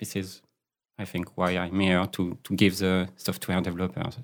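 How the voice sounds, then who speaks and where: With a French accent, a man speaks at a moderate pace in a very deep, low pitch and fairly even intonation. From France. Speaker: agile coach. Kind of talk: interview conversation. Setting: studio. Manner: hesitant, many fillers.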